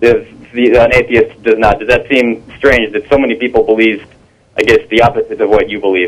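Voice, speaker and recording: This man talks at a fairly quick pace. He has a slight Brazilian accent. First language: Portuguese. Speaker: caller. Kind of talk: call-in discussion. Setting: phone call. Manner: halting.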